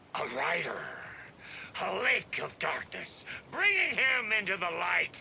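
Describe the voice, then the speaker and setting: Over clear background noise, a man in a put-on character voice sounds enthusiastic, moving at a fairly slow pace with long, frequent pauses. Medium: video game. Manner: boisterous, enthusiastic.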